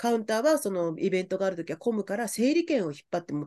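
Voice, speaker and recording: The speech moves at a very fast pace over a quiet background. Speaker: podcast host. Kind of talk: casual chat.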